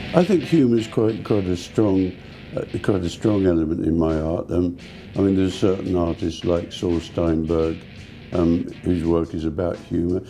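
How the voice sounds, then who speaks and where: Music plays in the background as a man with an English accent speaks at a moderate pace in a very deep, low pitch with ordinary pitch variation. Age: 70s. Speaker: pop artist, painter. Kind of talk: interview answer. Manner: hesitant, repeats words.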